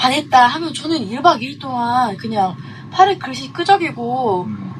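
Very wide pitch swings stand out over noticeable background noise. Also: woman. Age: young. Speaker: illustrator. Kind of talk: casual chat.

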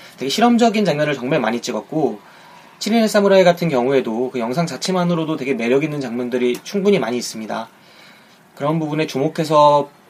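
Talking at a very fast pace, a man with a fairly high pitch makes very wide pitch swings over noticeable background noise. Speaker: film podcast host. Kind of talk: solo podcast talk. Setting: home recording.

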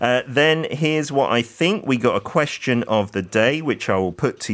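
The recording is very clean with a silent background. A man with a British accent moves through very wide pitch swings. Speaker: fill-in radio host. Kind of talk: radio show hosting. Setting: radio studio.

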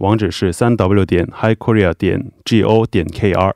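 Recorded dry and close with no echo against a quiet background, a man speaks at a moderate pace with a fairly low pitch and a dark, mellow tone. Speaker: immigration visa adviser. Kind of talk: Q&A explanation.

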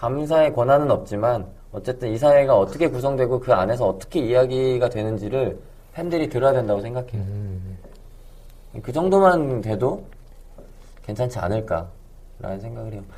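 A man talks at a medium pitch and a moderate pace, with lively intonation and big swings in loudness. He has a plain, everyday voice. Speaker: podcast producer. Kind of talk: casual chat.

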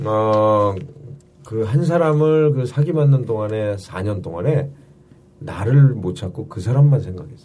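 The voice has a dark, mellow tone, somewhat breathy, with lively intonation at a very slow pace. Audible room echo is present. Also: man, medium pitch for a man. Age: 50s. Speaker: comedian. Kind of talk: casual chat.

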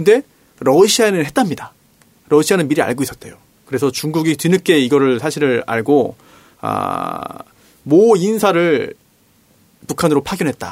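Long, frequent pauses from a man with a fairly high pitch. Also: lively intonation, moderate pace. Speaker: lawyer, stand-in host. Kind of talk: casual political chat.

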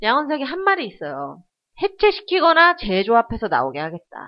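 This is a woman speaking. Her pitch is high. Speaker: podcast co-host. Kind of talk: casual chat.

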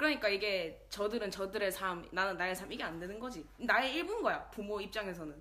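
A woman with an unremarkable speaking voice and a medium pitch talks at a fairly quick pace with hardly any pauses and lively intonation. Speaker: podcast co-host. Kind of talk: casual chat.

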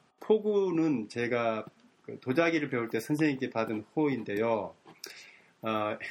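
With a medium pitch, a man speaks at a very slow pace. His intonation is lively. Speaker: community radio co-host. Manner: polite, formal.

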